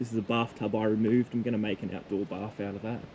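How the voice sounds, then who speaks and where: A man speaks with an Australian accent. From Tasmania, Australia. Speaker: homesteader vlogger. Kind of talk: casual walking tour vlog. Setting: outdoors and indoors walking around a rural property. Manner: casual, rambling with fillers.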